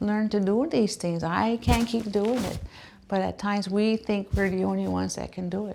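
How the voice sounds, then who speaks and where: A woman speaks with a Maritime Canadian accent. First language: Mi'kmaq. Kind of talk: personal testimony. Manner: halting, with fillers.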